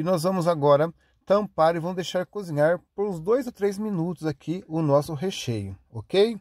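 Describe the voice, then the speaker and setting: A man speaks at a moderate pace in a high voice with ordinary pitch variation. The recording is very clean, dry and close, with a silent background and no echo. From Paraná, Brazil. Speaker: cooking video host. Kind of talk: recipe tutorial. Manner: chatty, conversational.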